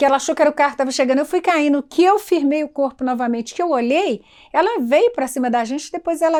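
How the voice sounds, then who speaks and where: Lively intonation and a very fast pace come through in a very clean recording with a silent background. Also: woman. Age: 70s. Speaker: cultural figure. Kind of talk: documentary interview. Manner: halting.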